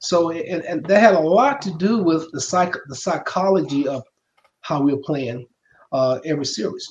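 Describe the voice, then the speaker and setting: This man has a Southern US accent and a high pitch. His intonation is lively. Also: moderate pace. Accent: Southern US (Georgia). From US South, Macon, Georgia. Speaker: retired football player. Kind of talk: interview.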